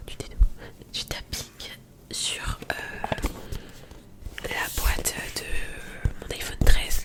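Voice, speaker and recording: Noticeable background noise surrounds a woman as she whispers. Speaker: ASMR creator. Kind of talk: ASMR casual chat to camera. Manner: soft-spoken.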